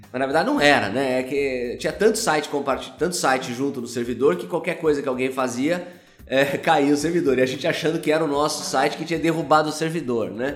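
A fairly quick voice with ordinary pitch variation, audible room echo and noticeable background noise. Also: man, fairly high pitch for a man. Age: 40s. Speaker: company founder and CEO. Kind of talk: casual interview. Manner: hesitant, filler-heavy.

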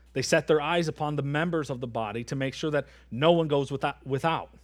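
A plain, everyday voice from a man, fairly high in pitch, at a fairly quick pace with ordinary pitch variation, on a very clean recording with a silent background. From Michigan. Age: 30s. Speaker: pastor. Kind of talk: sermon. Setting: church.

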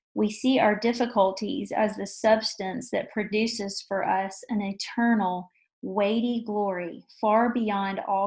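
Somewhat breathy, a woman's fairly high voice keeps fairly even intonation. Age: 40s. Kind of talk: testimony.

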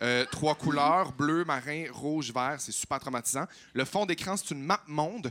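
With a Quebec accent, a man speaks at a fairly slow pace in a fairly high pitch, his tone bright and sharp in a dry, close sound with no echo. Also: ordinary pitch variation. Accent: Quebec French, Saguenay. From Quebec, Saguenay (Chicoutimi). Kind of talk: casual chat. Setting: stage with audience.

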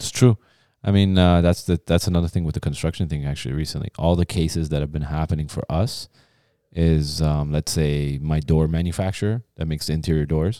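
Very deep and low, a man's dark, mellow voice carries a Canadian accent at a fairly quick pace with fairly even intonation. The sound is dry and close with no echo, on a very clean recording with a silent background. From Ontario, Canada (raised; Iranian-born). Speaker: podcast co-host. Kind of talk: casual chat.

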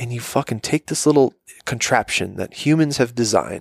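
A man whispering, with a dry, close sound and no echo. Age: 20s. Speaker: podcast co-host. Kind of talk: casual chat. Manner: animated.

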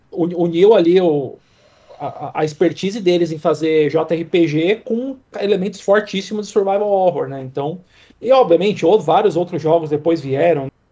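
The tone is dark and mellow. Pitch varies in an ordinary way at a moderate pace. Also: man, high pitch for a man. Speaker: games reviewer. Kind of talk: casual chat.

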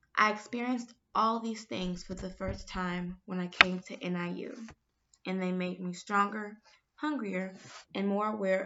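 A woman's medium-pitched voice with an American accent, at a moderate pace and with ordinary pitch variation, an unremarkable speaking voice. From Chicago, US Midwest. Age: 20s. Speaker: university student. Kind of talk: reading aloud.

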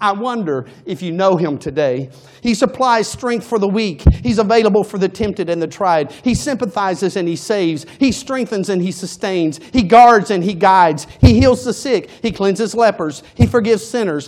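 With music in the background, a man speaks at a moderate pace and high pitch, with hardly any pauses. His tone is animated and his intonation lively. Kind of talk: sermon. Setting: church. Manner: rhythmic, building cadence with repeated 'He's the...' lines, rising preacher's fervor; animated, rhetorical questions to congregation, urgent and exhorting.

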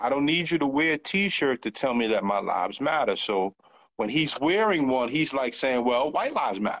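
A man speaks at a moderate pace with a fairly high pitch and lively intonation. His loudness stays very even over a quiet background. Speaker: podcast co-host. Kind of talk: casual chat. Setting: video call.

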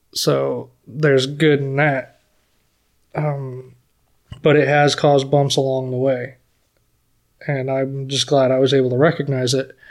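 A man with an American accent speaks in a monotone, flat intonation at a fairly high pitch, with long, frequent pauses. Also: fairly slow pace. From US South (Florida). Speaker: firefighter. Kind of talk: podcast interview.

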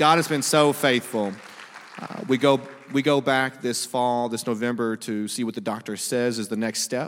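Against crowd noise in the background, the speech moves at a moderate pace with ordinary pitch variation. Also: man, medium pitch for a man. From Louisiana, Monroe. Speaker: campus missionary. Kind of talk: sermon. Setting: church.

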